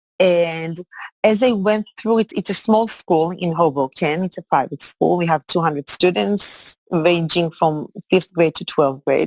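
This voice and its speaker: Dry and close with no echo, a woman with an Israeli accent speaks at a fairly low pitch with ordinary pitch variation. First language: Hebrew. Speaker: executive coach and high school teacher. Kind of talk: interview. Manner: halting.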